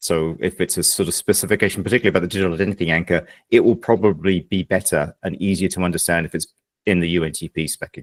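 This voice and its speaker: A man's very deep, low pitch at a very fast pace, fairly even in intonation, with a dry, close sound with no echo. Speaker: project meeting chair. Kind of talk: online work meeting.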